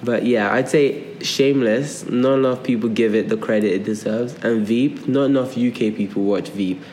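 Fairly level intonation amid clearly audible background noise. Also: man. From Nigeria and London. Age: 20s. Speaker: podcast co-host. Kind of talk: casual chat.

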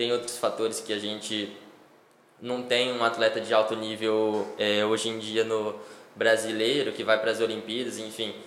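There's noticeable background noise and audible room echo around a man's medium-pitched voice. He talks at a moderate pace with monotone, flat intonation. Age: 20s. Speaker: professional cyclist. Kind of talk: casual interview.

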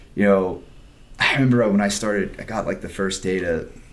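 A man is speaking. The room echo is audible. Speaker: YouTube creator and engineering student. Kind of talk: casual chat.

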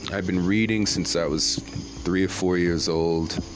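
With a very deep, low pitch, a man speaks at a fairly slow pace and ordinary pitch variation. Noticeable background noise is heard. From Brooklyn, New York. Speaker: podcast host and actor. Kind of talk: casual monologue. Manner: animated.

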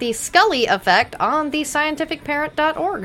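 With an American accent, a woman speaks at a fairly quick pace in a raised, projected voice. Her pitch is high, and it varies in an ordinary way. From Texas. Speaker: TV after-show co-host. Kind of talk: casual chat.

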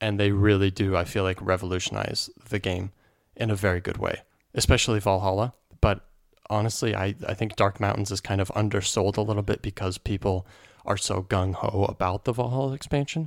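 Over a silent background on a very clean recording, a man with an ordinary speaking voice talks at a fairly quick pace in a fairly low pitch. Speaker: podcast co-host. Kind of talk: casual chat.

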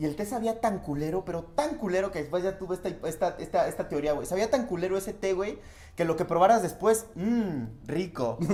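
A man with a Mexican accent, high pitch, lively intonation and fairly quick pace, against noticeable background noise. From rural Mexico. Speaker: comedian. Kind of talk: casual chat.

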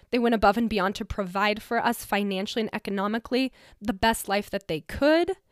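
In an unremarkable speaking voice, a woman with an American accent talks with a fairly high pitch and ordinary pitch variation, the very clean recording silent in the background and dry and close with no echo. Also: fairly quick pace. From Colorado mountain town. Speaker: podcast host. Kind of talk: personal monologue.

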